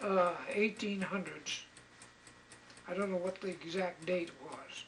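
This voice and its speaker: A man talks at a fairly slow pace in a high voice. Noticeable background noise can be heard. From Maine, Bangor. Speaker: elderly local resident. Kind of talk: interview, oral history recollection. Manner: halting, repeats words.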